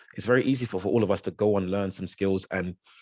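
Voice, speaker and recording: A man talks at a very fast pace in a Yoruba accent. The background is quiet. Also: dry, close sound with no echo. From South London. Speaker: guest speaker. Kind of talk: talk to an audience. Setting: video call. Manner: halting, many repeated words.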